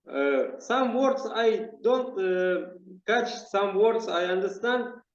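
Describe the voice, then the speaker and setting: Audible room echo surrounds a man speaking at a very slow pace, his pitch high for a man and varying in an ordinary way. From Kazakhstan. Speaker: English learner, channel host. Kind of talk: casual chat. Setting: video call. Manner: halting, hesitant.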